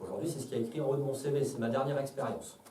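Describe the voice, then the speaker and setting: A man talks very fast at a fairly high pitch. Noticeable background noise and audible room echo fill the recording. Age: 30s. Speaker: lecturer, former salesman. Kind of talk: solo stage talk. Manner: hesitant, many fillers.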